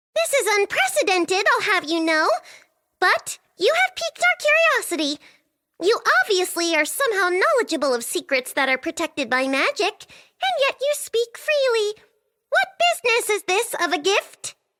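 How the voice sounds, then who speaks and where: A put-on character voice squeaks at an extremely high pitch. It swings very widely in pitch at a moderate pace. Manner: haughty, curious.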